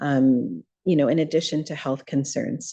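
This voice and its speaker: Soft-spoken and dark, mellow in tone, a woman with a very deep, low pitch talks at a moderate pace against a quiet background. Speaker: audience member at a panel. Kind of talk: audience comment at a panel Q&A.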